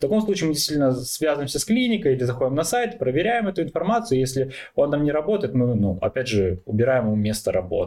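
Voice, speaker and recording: A man talks at a very fast pace with a fairly high pitch and a dark, mellow tone. His pitch swings very widely while his loudness stays very even. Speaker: product manager of review website. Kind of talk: panel discussion.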